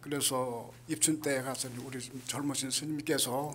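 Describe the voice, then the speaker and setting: A man with a fairly high pitch speaks at a very slow pace, with audible room echo around him. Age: 80s+. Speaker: Buddhist monk. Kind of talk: speech at event. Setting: event hall with audience.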